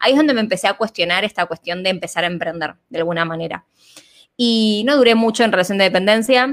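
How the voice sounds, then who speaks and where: A woman's medium-pitched voice at a very fast pace, with ordinary pitch variation, dry and close with no echo. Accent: Rioplatense. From Argentina. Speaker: holistic therapist and business coach. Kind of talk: interview conversation.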